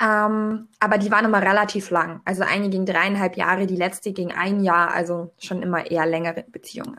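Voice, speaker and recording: Fairly quick speech from a woman at medium pitch, bright and sharp in tone, with fairly even intonation. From Allgäu, southern Germany. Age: 20s. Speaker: podcast guest. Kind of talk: casual chat.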